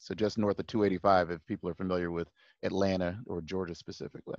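Recorded dry and close with no echo, a man speaks over a quiet background. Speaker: podcast guest.

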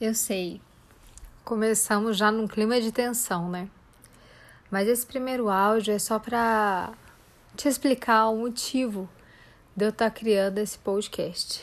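A woman's fairly high voice at a fairly slow pace, fairly even in intonation, with long, frequent pauses, on a very clean recording with a silent background. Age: 30s. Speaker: psychologist and life coach podcast host. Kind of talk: podcast introduction monologue. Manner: informal, with filler hesitations.

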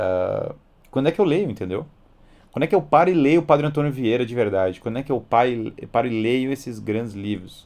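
A man with a plain, everyday voice talks at a fairly quick pace at medium pitch, his intonation lively. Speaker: educator and live-stream host. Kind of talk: live-stream lecture with Q&A.

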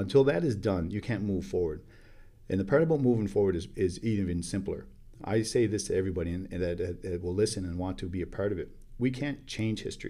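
This man talks at a very fast pace in a fairly low pitch with a dark, mellow tone. His pitch varies in an ordinary way. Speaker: First Nation chief. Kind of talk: interview. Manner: halting, many filler words.

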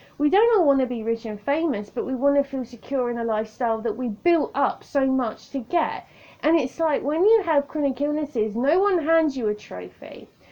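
A woman with a southern English accent speaks at a high pitch with lively intonation. Her pace is moderate, with hardly any pauses. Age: 30s. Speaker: podcaster. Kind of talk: casual monologue. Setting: home recording on tablet.

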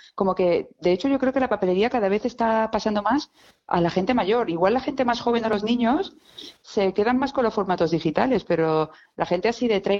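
A woman with an unremarkable speaking voice talks at a moderate pace, with ordinary pitch variation and a quiet background. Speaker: illustrator, stationery designer. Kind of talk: casual interview chat. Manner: lively, laughing.

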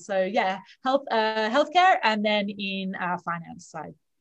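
A woman with an Australian accent speaks at a fairly high pitch and a moderate pace. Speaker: leadership coach. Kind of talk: interview.

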